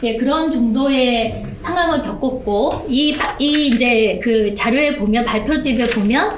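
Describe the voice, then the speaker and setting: Noticeable background noise and audible room echo surround a woman's voice. She speaks fairly slowly, high-pitched, with lively intonation. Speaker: whistleblower speaking from the floor. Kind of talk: testimony at a public forum. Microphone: speaking without a microphone.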